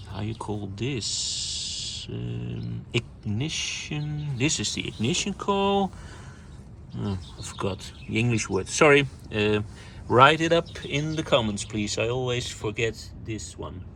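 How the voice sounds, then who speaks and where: A man talks at a very slow pace with noticeable background noise around him. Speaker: car enthusiast vlogger. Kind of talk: walkaround car tutorial. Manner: halting, many fillers; enthusiastic.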